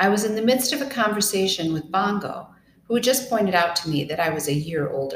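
Lively intonation in an unforced reading voice

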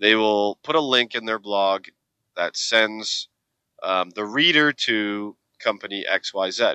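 Speaking at a very slow pace, a man has a fairly low pitch and ordinary pitch variation. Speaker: podcast host. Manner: casual, energetic.

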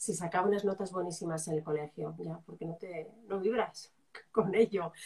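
Her tone dark and mellow, a woman talks with fairly even intonation. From Spain, Zaragoza (Aragon). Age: 40s. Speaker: journalist, coach and writer. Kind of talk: live interview.

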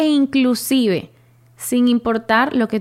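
A woman at a very slow pace. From Venezuela (Caracas, then Maracaibo from age 11). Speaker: journalist and podcast host. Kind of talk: personal monologue, storytelling.

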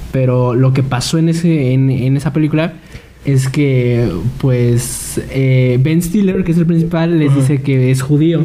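With audible room echo and noticeable background noise, a man talks fairly slowly at a medium pitch, using ordinary pitch variation and very even loudness. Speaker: podcast co-host. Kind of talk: casual chat.

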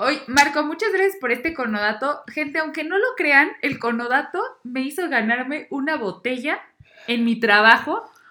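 In a raised, projected voice, a woman talks at a moderate pace with a high pitch, a bright, sharp tone and lively intonation. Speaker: podcast guest, bank employee. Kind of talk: casual chat.

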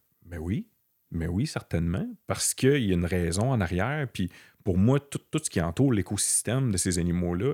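A fairly low-pitched man with a Quebec accent and a dark, mellow tone at a moderate pace, in a very clean, silent recording with a dry, close sound and no echo. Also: lively intonation. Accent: Québécois French. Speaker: blood-tracking dog handler. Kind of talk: casual interview.

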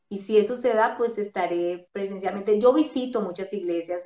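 Medium pitch, ordinary pitch variation and a moderate speed from a woman with a plain, everyday voice. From Colombia, Bogotá. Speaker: radio host and ministry figure. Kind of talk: interview, casual testimony. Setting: video call.

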